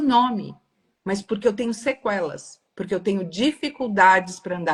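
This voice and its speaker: At a medium pitch, a somewhat breathy woman speaks at a moderate pace with lively intonation. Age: 60s. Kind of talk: live stream discussion. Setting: live video stream.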